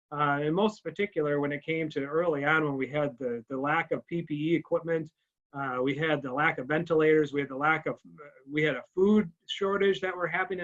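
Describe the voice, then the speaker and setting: A man with a fairly high pitch, fairly even intonation, and a very fast pace. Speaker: fundraising officer for a charitable foundation. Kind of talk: presentation to a club. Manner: halting, many fillers and restarts.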